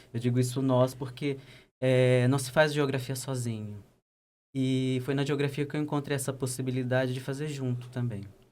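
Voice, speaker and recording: With a slight Pernambuco accent, a man speaks at a medium pitch in a monotone, flat intonation. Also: moderate pace. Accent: slight northeastern Brazilian (Pernambuco). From Brazil, Pernambuco (sertão, Custódia). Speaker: geographer and doctoral researcher. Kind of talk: podcast interview.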